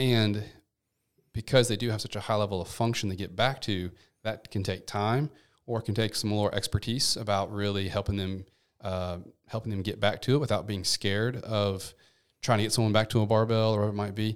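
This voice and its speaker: A man with a Memphis accent speaks at a fairly quick pace in a fairly low pitch with fairly even intonation, heard in a very clean recording with a silent background. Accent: Southern US (Memphis). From US South, Memphis, Tennessee. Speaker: physical therapist. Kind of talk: podcast interview.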